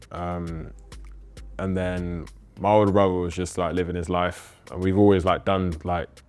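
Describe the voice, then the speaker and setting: With music playing behind him, a man with a London accent speaks at a moderate pace in a very deep, low pitch and a monotone, flat intonation. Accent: London multicultural English. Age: 20s. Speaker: clothing brand founder. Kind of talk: casual interview chat.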